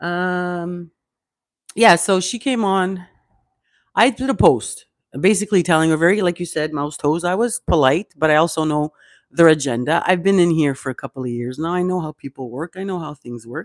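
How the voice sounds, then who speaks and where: A woman with a fairly low pitch speaks at a moderate pace with lively intonation and big swings in loudness. The sound is dry and close with no echo, in a very clean recording with a silent background. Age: 50s. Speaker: online content creator. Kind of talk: casual livestream rant.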